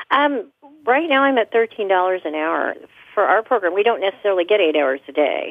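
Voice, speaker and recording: Speaking at a fairly quick pace with an American accent, a woman with a medium-pitched voice moves through very wide pitch swings. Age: 60s. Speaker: home care worker. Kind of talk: interview.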